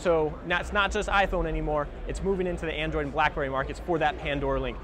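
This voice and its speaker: A man talks at a very fast pace. The sound is dry with no echo, but background noise is noticeable. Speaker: presenter. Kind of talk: trade show product walkthrough. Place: hall. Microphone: lapel.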